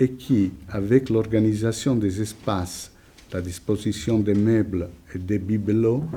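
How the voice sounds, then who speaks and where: Speaking at a very slow pace with an Italian accent, a man has a fairly low-pitched, somewhat breathy voice with a dark, mellow tone and fairly even intonation. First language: Italian (speaking French). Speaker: psychoanalyst, lecturer. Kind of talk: lecture. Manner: reading a prepared text.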